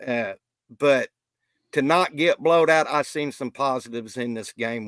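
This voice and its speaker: Recorded dry and close with no echo, a man speaks at a moderate pace in an unremarkable speaking voice with ordinary pitch variation. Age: 60s. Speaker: podcast guest, football fan. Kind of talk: casual sports discussion.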